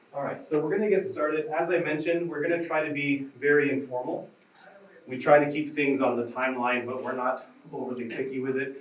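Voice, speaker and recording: A man's fairly high-pitched voice at a fairly quick pace with fairly even intonation, amid noticeable background noise and audible room echo. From Canada. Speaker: respiratory therapist, symposium moderator. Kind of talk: conference introduction. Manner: casual, friendly.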